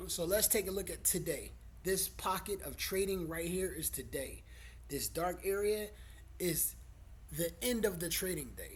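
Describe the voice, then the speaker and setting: With audible room echo, a man talks at a moderate pace, leaving long, frequent pauses. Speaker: stock trader. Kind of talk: tutorial. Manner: casual, profane.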